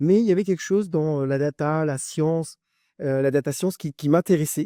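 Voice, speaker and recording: A man's dark, mellow tone at a fairly high pitch, moving at a fairly quick pace with ordinary pitch variation. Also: dry, close sound with no echo, very clean recording, silent background. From France, Brittany (Brest). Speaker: tech entrepreneur. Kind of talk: interview. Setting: studio, filmed podcast. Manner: hesitant, many fillers and repetitions.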